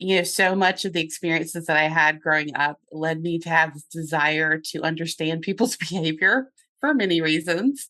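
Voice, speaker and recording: A woman speaks at a moderate pace with a bright, sharp tone. Her loudness swings widely while her pitch varies in an ordinary way. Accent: slight Southern US. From US South, North Carolina. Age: 50s. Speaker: business coach and therapist. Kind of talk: podcast interview.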